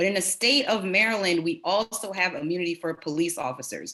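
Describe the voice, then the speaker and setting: Her tone is bright and sharp as this woman speaks with an American accent. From Delaware, US, in a Jamaican family. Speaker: state legislator. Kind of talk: town hall speech.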